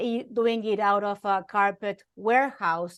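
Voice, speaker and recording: Against a quiet background, a woman with an Argentine accent speaks at a medium pitch. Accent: foreign accent (Argentine Spanish). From Argentina. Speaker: journalist and keynote speaker. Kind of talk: interview.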